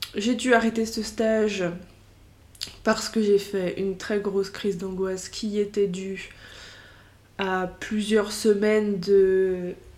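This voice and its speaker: With long, frequent pauses, a woman of medium pitch talks at a very slow pace in a monotone, flat intonation. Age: 20s. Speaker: podcaster. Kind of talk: casual monologue. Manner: hesitant, many fillers.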